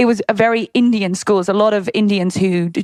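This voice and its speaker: A woman with a British accent speaks in an animated tone at a fairly high pitch. The sound is dry and close, with no echo. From England. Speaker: fitness entrepreneur. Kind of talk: interview. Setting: podcast.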